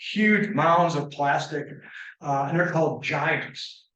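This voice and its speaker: There is audible room echo around this man's voice. He has a fairly high pitch with ordinary pitch variation. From Michigan, Muskegon area. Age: 70s. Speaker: environmental consultant. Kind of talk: lecture. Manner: halting.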